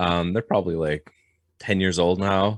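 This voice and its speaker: Very deep, low pitch from a man with a French Canadian accent, fairly even intonation, dry, close sound with no echo, on a very clean recording with a silent background. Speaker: blacksmith and knife maker. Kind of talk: podcast interview. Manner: halting.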